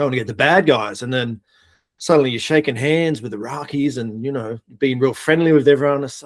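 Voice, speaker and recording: The speaker talks fairly quickly with an Australian accent, ordinary pitch variation, and big swings in loudness. The recording is very clean, with a silent background. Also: man, medium pitch for a man. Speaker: air force veteran. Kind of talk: casual interview.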